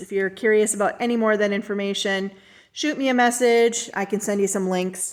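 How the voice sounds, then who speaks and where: Heard on a very clean recording with a silent background, a woman with a normal speaking voice talks at a fairly high pitch with fairly even intonation. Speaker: artist and craft seller. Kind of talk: product showcase video. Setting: home art studio.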